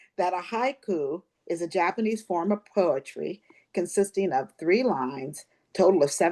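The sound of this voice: An unforced reading voice with lively intonation plays over a quiet background.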